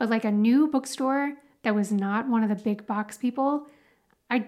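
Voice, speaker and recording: At a moderate pace, a woman with an American accent and a fairly high pitch speaks in a normal speaking voice, with ordinary pitch variation. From Texas, Dallas. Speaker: podcast co-host. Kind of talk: casual chat.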